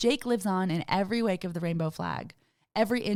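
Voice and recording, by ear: With a quiet background, the speaker is reading aloud in a natural voice and the pitch varies in an ordinary way.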